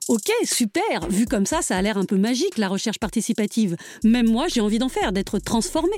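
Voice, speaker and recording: On a very clean recording with a silent background, a woman with a fairly high voice talks at a fairly quick pace, her pitch swinging very widely while her loudness stays very even. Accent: Parisian. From Paris, France. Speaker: podcast host and narrator. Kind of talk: scripted narration.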